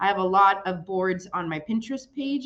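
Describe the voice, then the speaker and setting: This woman speaks with a Spanish accent at a medium pitch. Her intonation is lively. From Chicago, US Midwest. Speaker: children's librarian. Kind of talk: presentation.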